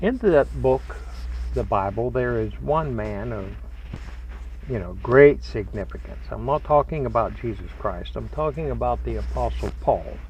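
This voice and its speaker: A man talks at a moderate pace. There is noticeable background noise behind him. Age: 70s. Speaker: religious teacher. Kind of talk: spiritual talk. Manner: folksy, conversational.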